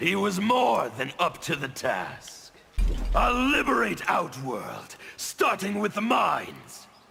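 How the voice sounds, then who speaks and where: A man puts on a character voice with a high pitch and very wide pitch swings. He speaks at a fairly slow pace. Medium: video game.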